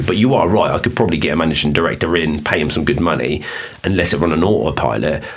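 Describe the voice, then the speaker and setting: With audible room echo and noticeable background noise, a man with an English accent and a very deep, low pitch talks at a fairly quick pace. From England. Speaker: podcast host and business owner. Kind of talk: casual chat.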